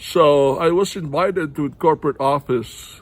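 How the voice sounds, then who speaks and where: This man speaks with a Filipino accent, his fairly high pitch moving with ordinary variation. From Philippines. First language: Tagalog. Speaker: vlogger, heart attack survivor. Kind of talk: personal testimony to camera. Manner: halting, many fillers.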